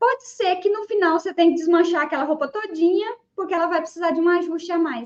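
A woman's extremely high voice at a very fast pace, with hardly any pauses and ordinary pitch variation. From Brazil, interior of Goiás. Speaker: sewing and patternmaking teacher. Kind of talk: interview on live podcast.

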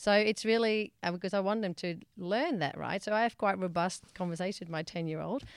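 A woman with a Dutch accent talks at a fairly quick pace with hardly any pauses. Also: medium pitch for a woman, ordinary pitch variation. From Netherlands. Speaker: mediator and conflict resolution trainer. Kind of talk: podcast interview. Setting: studio.

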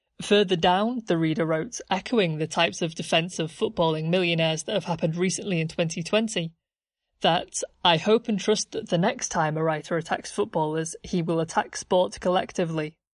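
A woman with an unremarkable speaking voice, fairly low in pitch, ordinary pitch variation, fairly quick pace. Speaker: podcast narrator. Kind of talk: history documentary narration. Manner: measured, formal, scripted-sounding delivery; clear, explanatory, authoritative.

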